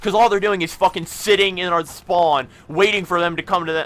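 The tone is bright and sharp. The pace runs fairly quick. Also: man. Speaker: gaming commentator. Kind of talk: angry gaming rant, profanity-laden commentary. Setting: gameplay commentary recorded over video game. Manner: loud, exasperated, sweary, ranting.

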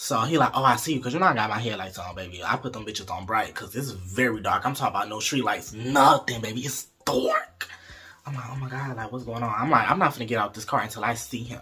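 A man talks at a very fast pace with big swings in loudness. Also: ordinary pitch variation. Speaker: storyteller vlogger. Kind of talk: casual vlog chat. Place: home room. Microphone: phone near.

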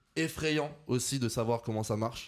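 At a fairly slow pace, a man with an unremarkable speaking voice talks with ordinary pitch variation. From France, Lyon. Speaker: content creator. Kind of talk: casual chat.

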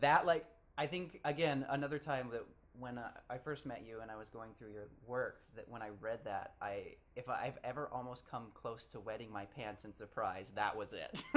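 A man's plain, everyday voice at medium pitch, with ordinary pitch variation, big swings in loudness and a moderate pace. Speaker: podcast host. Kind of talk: podcast interview questions.

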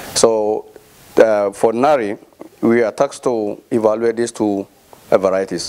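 At a moderate pace, a man speaks in a fairly low voice. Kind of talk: speech at handover ceremony. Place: hall. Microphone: handheld.

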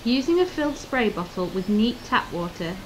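Noticeable background noise accompanies a woman whose fairly high voice has lively intonation at a moderate pace. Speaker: voiceover narrator, host's wife. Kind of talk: scripted narration, instructions.

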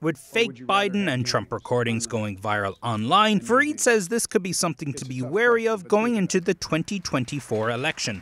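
The speech runs at a fairly quick pace with hardly any pauses, very wide pitch swings and big swings in loudness. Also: man, fairly high pitch for a man. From Ireland, County Kerry. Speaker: tech reporter. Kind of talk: news report narration.

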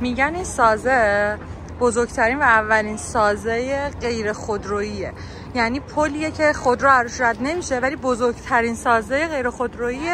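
A woman speaks at a moderate pace in a high voice with ordinary pitch variation, the sound dry with no echo and a little background noise. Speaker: tour host. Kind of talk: casual vlog chat. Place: street. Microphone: phone near.

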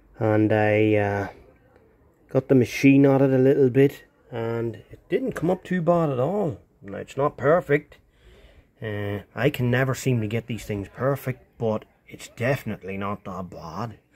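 A dark, mellow tone at a fairly slow pace. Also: man, long, frequent pauses, big swings in loudness. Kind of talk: casual vlog chat. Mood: pleased, relaxed. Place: workshop. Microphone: phone near.

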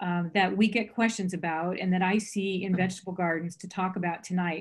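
Against a quiet background, a woman talks at a fairly quick pace in a somewhat breathy voice. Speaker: presenter. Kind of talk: lecture. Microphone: video call.

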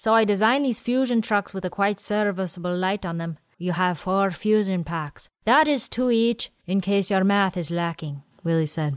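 A woman with an ordinary speaking voice talks at a moderate pace and medium pitch, with ordinary pitch variation and hardly any pauses, in a very clean recording with a silent background. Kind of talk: audiobook narration of sci-fi fiction. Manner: measured narrator, shifts into character voices for dialogue.

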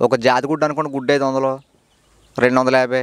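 The background stays quiet while a man talks. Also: dry sound with no echo. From East Godavari district, Andhra Pradesh, India; Andhra Pradesh, India. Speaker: dairy farmer. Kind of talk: casual interview. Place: farm machine. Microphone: handheld.

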